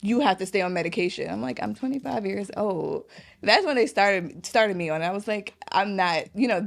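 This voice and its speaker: Talking at a fairly quick pace, a woman with a medium pitch uses lively intonation and some vocal fry. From Guyana. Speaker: small business owner. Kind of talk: podcast interview.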